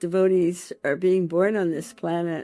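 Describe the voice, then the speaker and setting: A woman's fairly slow speech is heard with music in the background. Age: 80s+. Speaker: spiritual memoir author and early disciple. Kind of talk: personal testimony and book introduction.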